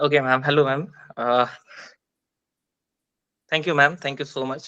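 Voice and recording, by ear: A man talks at medium pitch with fairly even intonation. His tone is clear and smooth. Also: fairly slow pace.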